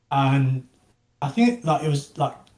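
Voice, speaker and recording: Somewhat breathy, this man's voice sits fairly high in pitch. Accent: English. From England. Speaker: NFT project founder. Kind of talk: casual interview. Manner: halting, many fillers.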